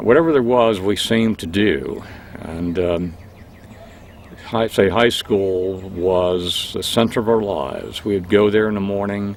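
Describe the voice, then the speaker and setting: A man with an American accent speaks at a fairly slow pace and fairly low pitch. Noticeable background noise can be heard. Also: ordinary pitch variation. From Pennsylvania, Berks County. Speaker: longtime resident interviewee. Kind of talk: oral history interview.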